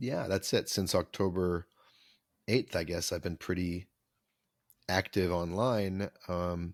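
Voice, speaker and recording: The speaker pauses often and at length, with fairly even intonation. The sound is dry and close with no echo, and the recording is very clean over a silent background. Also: man. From Canada, Vancouver. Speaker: author and musician. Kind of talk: podcast interview.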